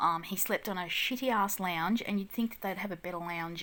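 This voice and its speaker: Speaking with an Australian accent, a woman delivers fairly quick speech at a medium pitch with ordinary variation and a bright, sharp tone, on a very clean recording with a silent background. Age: 40s. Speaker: mum vlogger. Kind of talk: casual vlog. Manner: hesitant with many ums.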